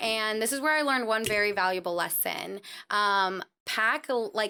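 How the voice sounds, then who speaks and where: A woman with a Californian accent speaks at a moderate pace and a fairly high pitch, her bright, sharp tone animated, her pitch varying in an ordinary way and her loudness very even, on a very clean recording with a silent background. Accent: Californian, American. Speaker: traveler. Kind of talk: casual chat. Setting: studio.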